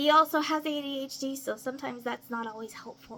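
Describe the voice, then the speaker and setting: A high-pitched woman's raised, projected voice with an American accent and fairly even intonation. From US South. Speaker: craft vlogger. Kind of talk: casual vlog introduction.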